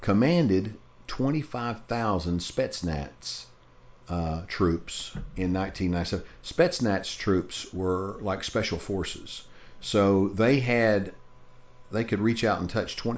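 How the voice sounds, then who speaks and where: A man speaks very slowly with a Southern US accent. His pitch is fairly low, with ordinary variation. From US South. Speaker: podcast co-host. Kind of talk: casual chat.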